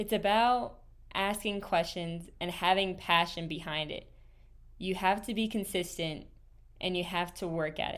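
A woman speaks at a medium pitch in an animated tone. Her pitch varies in an ordinary way. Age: 20s. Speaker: podcast host. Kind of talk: solo podcast monologue.

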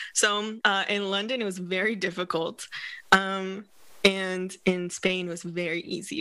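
A woman speaks with an American accent at a medium pitch, her tone bright and sharp with ordinary pitch variation. The recording is very clean, with a silent background. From Northern California. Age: 30s. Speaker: hypnotherapist and coach. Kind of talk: podcast interview.

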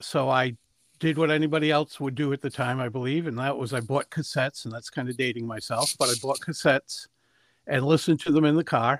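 A man speaks at a medium pitch with fairly even intonation. The tone is fairly bright, and the sound is dry and close with no echo.

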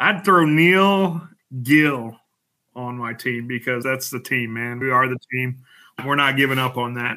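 A man with an American accent has a normal speaking voice. His pitch is medium, with ordinary variation. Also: fairly slow pace. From Colorado, Denver. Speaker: league bowler. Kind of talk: casual chat.

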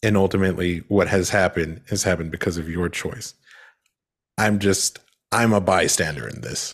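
Speaking at a moderate pace, a man with a very deep, low pitch keeps his intonation fairly even. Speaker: podcast host. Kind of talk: casual podcast chat. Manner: casual, joking.

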